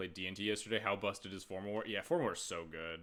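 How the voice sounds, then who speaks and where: A man's very deep, low voice with a bright, sharp tone and fairly even intonation. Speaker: game streamer. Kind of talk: live gameplay commentary. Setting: live stream. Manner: soft-spoken. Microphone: quiet volume on YouTube upload.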